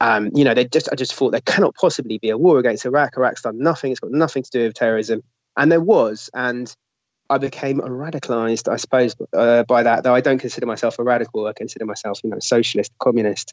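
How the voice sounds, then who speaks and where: Very fast speech from a man, his pitch varying in an ordinary way. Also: medium pitch for a man. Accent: London. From London. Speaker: newspaper editor and former volunteer fighter. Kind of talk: interview.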